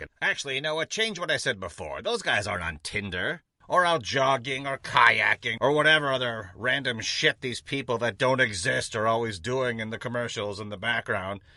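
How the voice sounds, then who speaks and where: A man does a cartoonish character voice at a medium pitch. He goes at a fairly quick pace with hardly any pauses. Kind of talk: comedy sketch. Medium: puppet.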